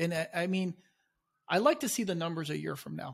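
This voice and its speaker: Moderately paced speech from a man, in a very clean recording with a silent background. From Chile, immigrated to the US as a child. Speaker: law enforcement officer. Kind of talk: casual chat.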